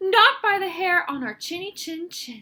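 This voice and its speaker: In a put-on character voice, a woman speaks in a raised, projected voice at an extremely high pitch. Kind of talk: bedtime story. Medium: read story. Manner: defiant.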